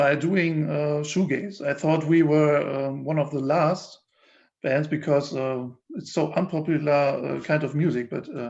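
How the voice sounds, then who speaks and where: In a German accent, a man with a fairly high pitch speaks very slowly with fairly even intonation against a quiet background. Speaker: musician in a band. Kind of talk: interview. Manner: halting, many fillers.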